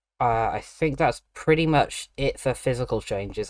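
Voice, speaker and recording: A man with a British accent at a moderate pace, ordinary pitch variation, and a very clean recording with a silent background. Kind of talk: audio diary, casual talk.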